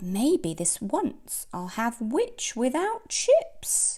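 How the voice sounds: Putting on a character voice, a woman speaks very slowly at a fairly high pitch, with very wide pitch swings and a dark, mellow tone.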